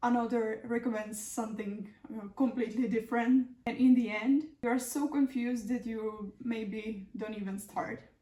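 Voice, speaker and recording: A woman's fairly high voice moves at a moderate pace, its pitch rising and falling in an ordinary way. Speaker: beauty vlogger. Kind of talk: casual vlog narration; tutorial. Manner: slightly halting.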